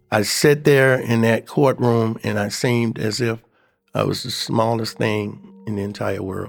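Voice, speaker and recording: A man in an American accent at a medium pitch, with fairly even intonation and a fairly slow pace, music in the background. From Cleveland, Ohio. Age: 60s. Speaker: exonerated former death row prisoner. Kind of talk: personal testimony.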